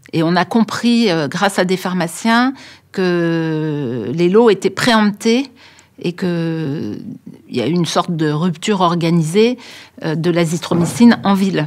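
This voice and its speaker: Over a silent background in a very clean recording, a woman with a fairly low pitch speaks at a very slow pace with lively intonation. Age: 60s. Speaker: doctor. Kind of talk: interview. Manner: hesitant, many filler sounds.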